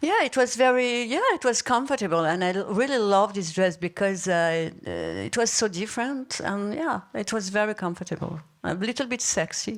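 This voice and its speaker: Speaking at a moderate pace with hardly any pauses, a woman of medium pitch uses lively intonation. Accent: French. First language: French. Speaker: former actress and model. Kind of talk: live panel interview. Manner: halting.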